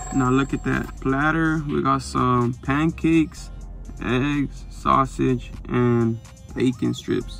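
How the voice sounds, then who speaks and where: The sound is dry with no echo, with faint music in the background. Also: man. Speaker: food vlogger. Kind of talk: casual vlog chat. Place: car. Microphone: phone near.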